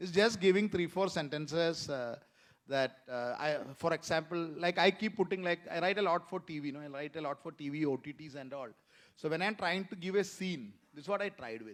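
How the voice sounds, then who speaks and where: The speaker goes at a fairly quick pace with ordinary pitch variation. Loudness swings widely in a very clean recording with a silent background. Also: man, high pitch for a man. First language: Malayalam. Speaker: author and screenwriter. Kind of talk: panel discussion. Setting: stage with audience at literature festival. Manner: hesitant, many fillers.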